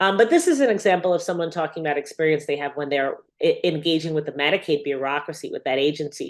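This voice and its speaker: A woman with an American accent, talking at a fairly quick pace with lively intonation. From US Northeast, New York City. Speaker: researcher. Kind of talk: lecture. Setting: webinar. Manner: fast.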